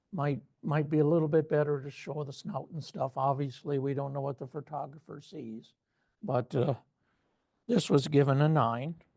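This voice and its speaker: A man's fairly high voice, somewhat breathy and dark, mellow in tone, keeps a moderate pace and shows ordinary pitch variation. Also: big swings in loudness. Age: old. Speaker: photo club judge presenting feedback. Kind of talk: photo critique presentation.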